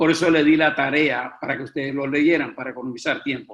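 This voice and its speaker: This is a plain, everyday voice. The intonation stays fairly even. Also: man. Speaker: preaching instructor. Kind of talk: lecture.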